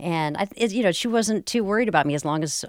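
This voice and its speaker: A woman speaks with an American accent and lively intonation at a fairly quick pace. The recording is very clean, with a silent background. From US South, Durham, North Carolina. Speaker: educator and surfer. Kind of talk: radio interview. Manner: halting, with frequent repetitions.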